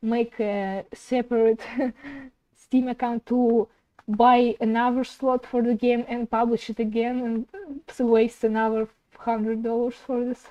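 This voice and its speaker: With a non-native accent, a woman speaks at a fairly slow pace in a dark, mellow tone. Her intonation is monotone and flat, and the sound is dry and close with no echo. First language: not English. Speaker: indie game developer streamer. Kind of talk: casual live stream chat while working. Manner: halting.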